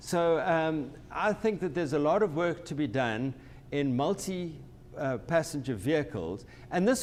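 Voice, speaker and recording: A man with a South African accent, moderate pace and ordinary pitch variation. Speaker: company president and transportation technology expert. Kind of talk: webinar discussion. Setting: online webinar. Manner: hesitant, many false starts and repetitions.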